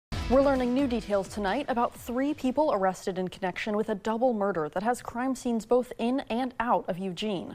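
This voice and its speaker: Fairly quick, fairly high-pitched speech from a woman with ordinary pitch variation and hardly any pauses, over music in the background. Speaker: news anchor and reporter. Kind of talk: TV news anchor read.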